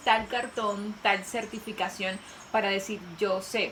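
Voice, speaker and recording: A woman with a fairly high pitch speaks at a fairly slow pace over noticeable background noise, with audible room echo around her. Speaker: youth personal growth video creator. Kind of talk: casual conversation.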